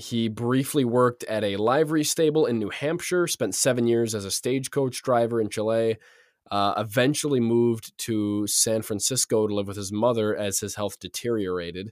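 This man has a normal speaking voice, a medium pitch and ordinary pitch variation. He talks at a moderate pace in a very clean recording with a silent background. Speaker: podcast host. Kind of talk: casual chat. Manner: joking, laughs often.

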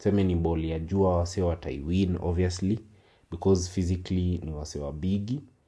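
A man with a Kenyan accent, a very deep, low pitch and a dark, mellow, somewhat breathy tone, fairly even intonation at a fairly quick pace, over a quiet background. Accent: Kenyan English, Sheng code-switching. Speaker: football podcaster. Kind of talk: solo commentary, code-switched English-Swahili. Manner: casual.

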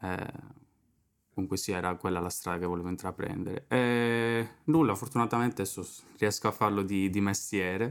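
Talking at a fairly quick pace in a fairly low voice, a man leaves long, frequent pauses. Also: ordinary pitch variation. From Sardinia, Italy. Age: 20s. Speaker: drummer and drum teacher. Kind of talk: casual chat.

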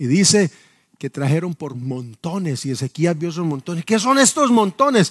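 On a very clean recording with a silent background and a dry, close sound with no echo, a man with a high pitch talks at a moderate pace with very wide pitch swings. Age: 50s. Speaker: pastor. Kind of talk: sermon. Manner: halting.

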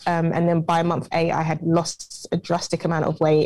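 A woman with a British accent speaks at a fairly low pitch. Her pace is moderate. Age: 20s. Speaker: entrepreneur. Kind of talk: interview.

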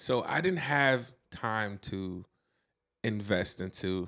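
On a very clean recording with a silent background, a man with a Brooklyn accent speaks at a fairly low pitch with ordinary pitch variation. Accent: New York (Brooklyn). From Brooklyn, New York (Flatbush). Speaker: guest. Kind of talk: casual chat.

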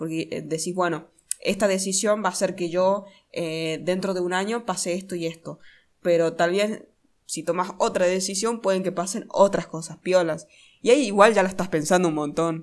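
A woman with an ordinary speaking voice talks at a moderate pace in a medium pitch with fairly even intonation. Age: 20s. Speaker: podcast co-host. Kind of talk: casual chat.

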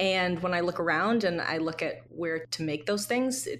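An unremarkable speaking voice at a moderate pace, with lively intonation. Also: woman. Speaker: advertising creative director. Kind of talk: casual interview chat. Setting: remote call.

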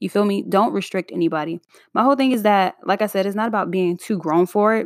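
On a very clean recording with a silent background and a dry, close sound with no echo, a woman with an ordinary speaking voice talks at a fairly quick pace, her medium pitch moving with ordinary variation. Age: 20s. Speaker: podcast host. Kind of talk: casual solo monologue. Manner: free-flowing, filler-heavy.

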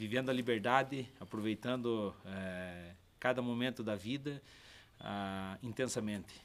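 The speaker has a Brazilian accent and lively intonation. The pace is very slow. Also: man. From southern Brazil, Paraná coast. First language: Portuguese (speaking French). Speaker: touring cyclist. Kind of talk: informal interview. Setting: campsite.

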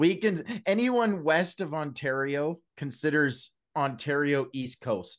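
Very slowly, a man with a Canadian accent speaks at a fairly high pitch with lively intonation. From Canada, British Columbia and Alberta. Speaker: Celebrate Recovery leader and Bible-reading content creator. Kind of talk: casual chat, testimony.

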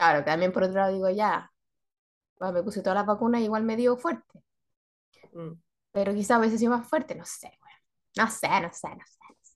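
A woman with a Chilean accent speaks at a fairly quick pace, broken by long, frequent pauses, with big swings in loudness. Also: medium pitch for a woman, ordinary pitch variation. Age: 40s. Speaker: podcast co-host. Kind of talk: casual chat.

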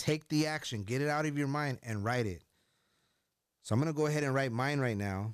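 Using long, frequent pauses despite a fairly quick pace, a man with an American accent speaks at medium pitch with ordinary pitch variation, in a very clean recording with a silent background. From US, Mexican-Italian family. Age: 40s. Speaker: entrepreneur in financial services and real estate. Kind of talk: casual chat; motivational talk.

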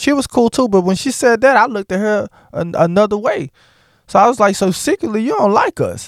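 A fairly quick delivery in a dry, close sound with no echo, on a very clean recording with a silent background. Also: man. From US South. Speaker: podcast host. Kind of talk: monologue rant. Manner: animated.

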